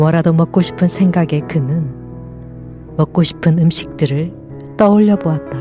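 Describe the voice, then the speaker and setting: Calm in tone, a woman with a very deep, low pitch and ordinary pitch variation speaks at a fairly slow pace as music plays in the background. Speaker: audiobook narrator. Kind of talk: meditative audiobook reading. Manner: calm, soft-spoken, slow.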